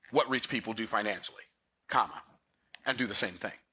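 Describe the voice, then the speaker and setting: This man's animated delivery has a bright, sharp tone with vocal fry. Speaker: financial educator. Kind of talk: lecture. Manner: fast.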